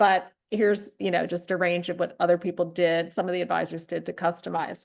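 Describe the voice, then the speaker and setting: Her voice is fairly low with vocal fry. The woman talks at a fairly quick pace in a monotone, flat way. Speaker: marketing company host of webinar. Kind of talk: webinar conversation. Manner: informal.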